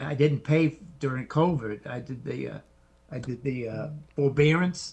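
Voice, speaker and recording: A man with a fairly high, somewhat breathy voice speaks at a moderate pace with fairly even intonation and big swings in loudness. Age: 60s. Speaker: military veteran. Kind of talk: live Q&A question.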